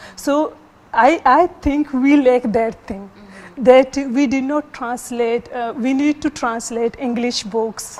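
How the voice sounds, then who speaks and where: The speaker has a Baluchi accent and talks at a very slow pace. Pitch variation is ordinary. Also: woman, high pitch for a woman. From Pakistan, Baluchi-speaking. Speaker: literature scholar. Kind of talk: TV panel discussion.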